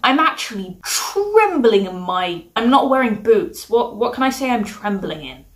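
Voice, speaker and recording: A woman with a British accent at a moderate pace over noticeable background noise. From UK. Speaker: book reviewer. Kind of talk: casual review monologue.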